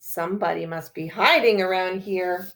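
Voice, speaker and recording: A woman uses a put-on character voice at medium pitch, speaking in a flat monotone at a moderate pace. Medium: read story.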